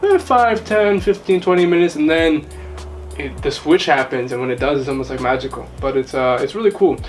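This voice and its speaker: With music in the background, a man talks at a fairly quick pace in a New York accent. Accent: New York American. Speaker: YouTube polyglot host. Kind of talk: casual interview.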